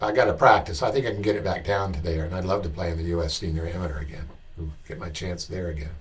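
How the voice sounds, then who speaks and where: A man's very deep, low voice, somewhat breathy, at a very fast pace with ordinary pitch variation and audible room echo. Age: 60s. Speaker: golf commentator, former tour player. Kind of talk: video commentary / analysis. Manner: halting, many fillers.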